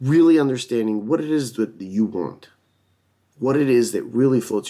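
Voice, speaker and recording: Speaking at a moderate pace, a man with a medium pitch and a dark, mellow tone uses lively intonation. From Romania. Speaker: self-help video host. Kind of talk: motivational monologue. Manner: hesitant, many fillers.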